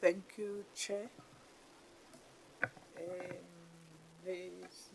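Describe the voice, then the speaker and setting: A soft-spoken woman at a very slow pace, her intonation fairly even, over noticeable background noise. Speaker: parliament member. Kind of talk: committee questioning. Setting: parliamentary committee room.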